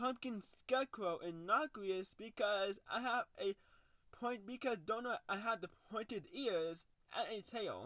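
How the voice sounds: What you hear is a natural reading voice.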